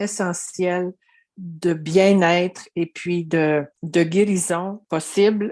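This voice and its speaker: Her intonation is fairly even throughout. The woman's voice rests at a medium pitch. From Quebec. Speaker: caregiver. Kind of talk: interview.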